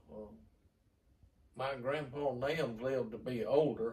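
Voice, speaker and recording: A man with a Southern US accent speaks very slowly, in a medium pitch with fairly even intonation and long, frequent pauses. His voice is somewhat breathy, with audible room echo. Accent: Southern US rural. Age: 70s. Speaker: grandfather interviewee. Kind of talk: reminiscing. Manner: halting.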